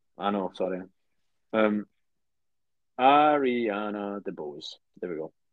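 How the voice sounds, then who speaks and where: A man with a British accent speaks very slowly, with long, frequent pauses. His fairly low voice carries lively intonation. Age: 20s. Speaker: podcast co-host. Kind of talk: casual chat.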